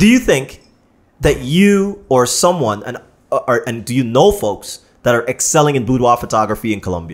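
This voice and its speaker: A man with a Canadian accent, an animated tone and very wide pitch swings, at a moderate pace. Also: quiet background. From Canada. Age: 30s. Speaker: podcast host. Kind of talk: casual chat. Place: studio. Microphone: studio mic.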